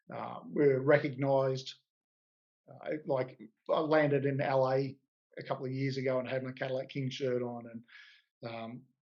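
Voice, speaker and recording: A man speaks in an Australian accent at a medium pitch. His delivery is monotone and flat at a moderate pace. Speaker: car club president. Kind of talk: interview. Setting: video call. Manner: halting.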